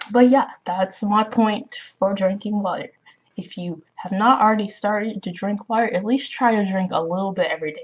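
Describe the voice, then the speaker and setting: A woman talks in a somewhat breathy voice, her loudness swinging widely. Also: medium pitch for a woman, fairly even intonation, moderate pace. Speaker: spirituality vlogger. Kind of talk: casual advice monologue.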